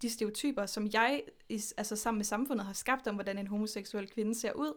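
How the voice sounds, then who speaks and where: Fairly high in pitch, a woman speaks in a plain, everyday voice at a moderate pace with fairly even intonation, in a very clean recording with a silent background. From Denmark, Horsens. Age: 20s. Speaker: podcast guest. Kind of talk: casual interview.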